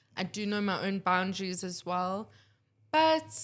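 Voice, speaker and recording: Recorded very cleanly over a silent background, a plain, everyday voice speaks at a fairly slow pace. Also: woman. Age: 20s. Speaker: student filmmaker and photographer. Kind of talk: casual interview chat.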